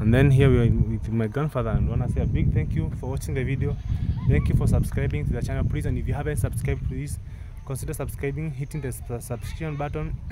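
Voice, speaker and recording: A man with a fairly low pitch talks at a very fast pace, his pitch swinging very widely. Noticeable background noise and audible room echo sit behind him. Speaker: vlogger. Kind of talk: casual vlog. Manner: animated.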